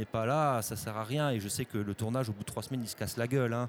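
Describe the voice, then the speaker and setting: Against music in the background, a man's voice sits at a medium pitch. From Corsica. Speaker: film director and actor. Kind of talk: interview. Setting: festival studio. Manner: halting, many repeated words.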